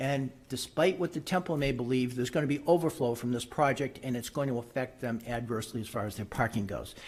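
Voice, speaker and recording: Somewhat breathy, the voice rushes along at a very fast pace with hardly any pauses. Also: man, medium pitch for a man, ordinary pitch variation. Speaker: public commenter at zoning hearing. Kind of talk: public comment at board meeting.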